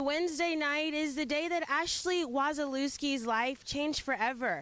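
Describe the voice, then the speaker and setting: Over music in the background, a woman speaks at a moderate pace with a high pitch, ordinary pitch variation and very even loudness. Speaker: news anchor and reporter. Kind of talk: field news report. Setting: outdoors.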